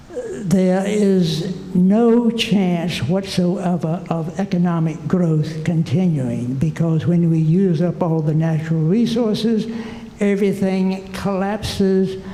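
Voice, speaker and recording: A man with a high pitch speaks at a very slow pace, using fairly even intonation and very even loudness. Audible room echo and noticeable background noise surround him. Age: 80s+. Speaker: retired geologist, audience member. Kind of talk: audience comment at conference.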